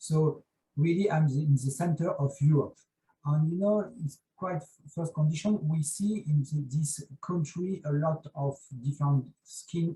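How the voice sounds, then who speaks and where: Speaking in a French accent, a man has a fairly high pitch and a dark, mellow tone. He goes at a fairly slow pace with ordinary pitch variation. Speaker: dermatologist, conference panelist. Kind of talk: panel discussion. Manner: halting.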